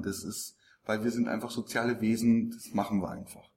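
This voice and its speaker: This man has an ordinary speaking voice, medium in pitch, moving at a moderate pace with fairly even intonation. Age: 40s. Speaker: actor and speaker on body language. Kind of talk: interview. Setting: conference event.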